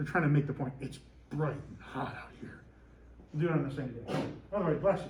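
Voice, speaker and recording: A man talking at a fairly quick pace, with audible room echo. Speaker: teacher. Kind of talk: lecture. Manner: loud; animated.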